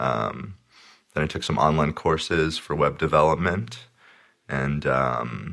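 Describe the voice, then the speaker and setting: Speaking with an American accent and a very deep, low pitch, a man moves at a fairly slow pace with lively intonation and long, frequent pauses. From New Jersey. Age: 20s. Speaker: web developer, podcast guest. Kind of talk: casual interview.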